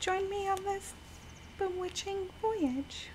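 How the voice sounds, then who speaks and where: A soft-spoken woman talks at a very slow pace. Her intonation stays fairly even. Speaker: VTuber game streamer. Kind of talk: casual gameplay stream with scripted intro. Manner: soft-spoken, shy.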